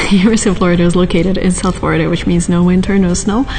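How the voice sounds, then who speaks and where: A woman whispers at a very fast pace, with music in the background and audible room echo. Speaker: vlogger. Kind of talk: vlog. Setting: library then outdoors on campus. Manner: whispering.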